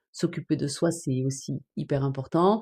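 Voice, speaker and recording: A woman's dark, mellow voice with a southern French accent against a quiet background. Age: 50s. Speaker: online business trainer. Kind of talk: live stream chat. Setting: TikTok live stream. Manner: hesitant, many fillers.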